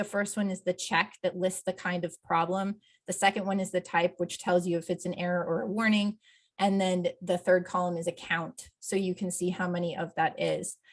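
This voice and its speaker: A woman's somewhat breathy voice sits at a medium pitch, delivered in a monotone, flat intonation. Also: very clean recording, silent background. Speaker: accessibility plugin developer presenting a tool. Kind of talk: software demo presentation.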